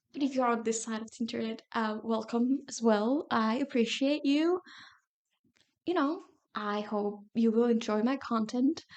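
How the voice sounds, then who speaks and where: Her pitch is fairly high. This woman speaks with ordinary pitch variation. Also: moderate pace. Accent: non-native. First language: not English. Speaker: YouTuber. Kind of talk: casual vlog talk.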